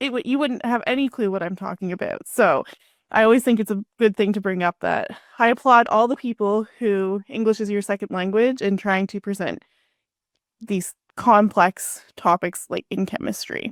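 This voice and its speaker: A woman's medium-pitched voice with a Canadian accent, a normal speaking voice at a moderate pace with ordinary pitch variation, on a very clean recording with a silent background and a dry, close sound with no echo. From Canada. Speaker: podcast host. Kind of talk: podcast interview.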